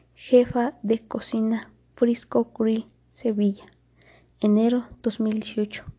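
This woman's fairly high voice has a dark, mellow tone and is somewhat breathy. Her intonation is monotone and flat, with long, frequent pauses. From Mexico, Querétaro. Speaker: cook. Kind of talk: reading aloud. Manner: formal.

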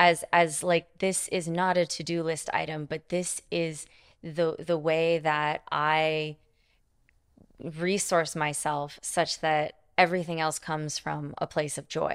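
A woman's very deep, low voice with an American accent, very slow and monotone, on a very clean recording with a silent background. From Montana. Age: 30s. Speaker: sex and intimacy coach. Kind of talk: casual interview.

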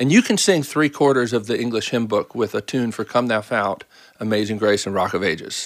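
A man with an American accent talks at a moderate pace in a medium pitch, an unremarkable speaking voice. The recording is very clean with a silent background. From US, Baltimore. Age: 50s. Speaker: pastor. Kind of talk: casual interview.

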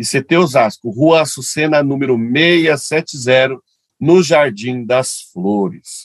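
A man of medium pitch speaks at a very slow pace with ordinary pitch variation. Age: 40s. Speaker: pastor, radio co-host. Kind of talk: radio show, announcements and Q&A; reading aloud.

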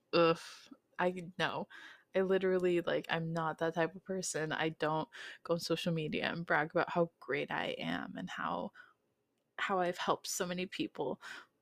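A woman with a fairly low pitch speaks at a moderate pace in a monotone, flat intonation. The recording is very clean with a silent background and a dry, close sound with no echo. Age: 20s. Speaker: podcaster. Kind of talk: casual monologue. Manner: hesitant, filler-heavy.

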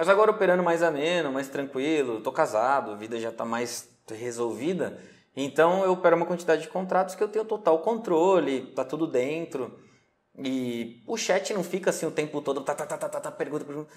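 A man talks with an unremarkable speaking voice. His pace is fairly quick and his intonation lively. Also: fairly high pitch for a man. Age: 30s. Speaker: day trader. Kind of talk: interview.

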